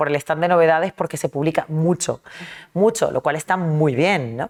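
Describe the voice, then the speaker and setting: A woman is talking. Her pace is moderate. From Argentina (early childhood), then Caracas, Venezuela (adolescence). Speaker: novelist. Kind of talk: interview.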